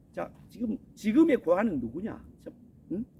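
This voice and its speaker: A man's extremely high-pitched voice, dark and mellow in tone, with lively intonation at a fairly slow pace. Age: 60s. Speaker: missionary preacher. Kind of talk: sermon. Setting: outdoors on a mountain.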